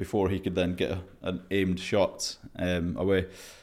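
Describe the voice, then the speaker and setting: Speaking with a Scottish accent, this man has a very deep, low voice, captured on a very clean recording with a silent background. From Scotland. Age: 30s. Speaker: former Royal Marine, expedition adventurer. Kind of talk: casual interview, storytelling. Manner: halting, many fillers.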